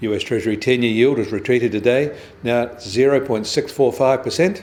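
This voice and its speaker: A man talks at a fairly quick pace. His pitch sits in the medium range. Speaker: financial news presenter. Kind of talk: business news bulletin read.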